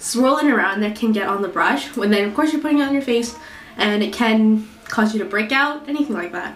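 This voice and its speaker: With lively intonation and a fairly quick pace, a woman talks over noticeable background noise. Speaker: beauty product reviewer; student. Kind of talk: casual talk to camera.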